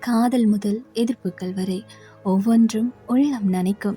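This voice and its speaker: Over music in the background, a woman talks in a fairly high pitch. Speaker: radio jockey. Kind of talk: poetry reading.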